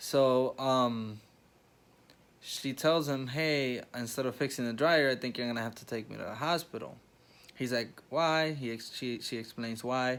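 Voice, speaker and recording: Quiet and fairly slow, a man speaks at a medium pitch with fairly even intonation but big swings in loudness. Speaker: vlogger. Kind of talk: casual vlog storytelling. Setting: hospital room. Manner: talking quietly.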